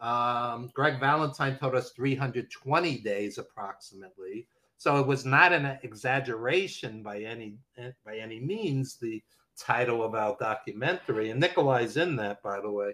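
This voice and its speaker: A man speaks at a moderate pace with a medium pitch and ordinary pitch variation. His tone is bright and sharp, and his loudness swings widely. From Brooklyn, New York. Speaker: wrestling documentary producer and editor. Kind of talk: casual interview chat, storytelling.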